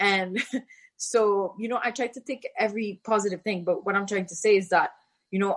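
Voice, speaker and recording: A woman with a French accent, her pitch medium. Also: quiet background. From Haiti. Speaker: former tennis champion. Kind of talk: podcast interview.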